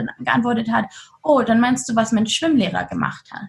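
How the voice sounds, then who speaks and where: Fairly high-pitched with some vocal fry, a woman speaks at a fairly quick pace in an upbeat tone, with ordinary pitch variation. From Germany. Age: 20s. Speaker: trafficking survivor and activist. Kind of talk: interview. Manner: lively, upbeat.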